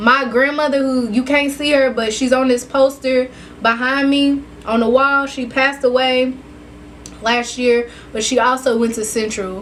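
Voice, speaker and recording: Over noticeable background noise, a woman talks at a moderate pace with a high pitch and monotone, flat intonation. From Kentucky, US South. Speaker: vlogger. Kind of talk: casual vlog monologue.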